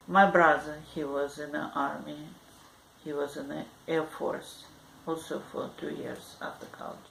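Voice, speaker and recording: Over audible room echo, a woman with a very deep, low pitch speaks at a fairly slow pace, her intonation fairly even while her loudness swings widely. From Azerbaijan, Baku (former Soviet Union). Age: 70s. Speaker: interviewee, grandmother. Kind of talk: oral history interview. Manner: halting.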